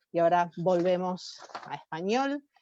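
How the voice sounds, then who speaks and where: A woman with an Argentine accent speaks in a fairly low pitch and a dark, mellow tone, the sound dry and close with no echo. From Argentina. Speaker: professor and conference organizer. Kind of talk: formal conference welcome speech. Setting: webinar video call. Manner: hesitant, with fillers and restarts.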